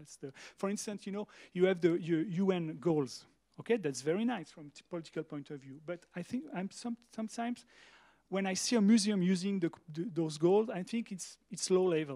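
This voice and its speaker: A man's high-pitched voice with a French accent, dark and mellow in tone, at a fairly quick pace, with ordinary pitch variation and big swings in loudness. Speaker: museum director. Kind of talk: panel discussion. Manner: halting.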